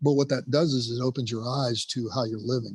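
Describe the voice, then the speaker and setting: Against a quiet background, a man speaks at a moderate pace and medium pitch with ordinary pitch variation, his voice somewhat breathy, in a dry, close sound with no echo. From US, Cuban immigrant family. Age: 60s. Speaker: retired firefighter and rehab counselor. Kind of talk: podcast interview. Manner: halting, repeats words.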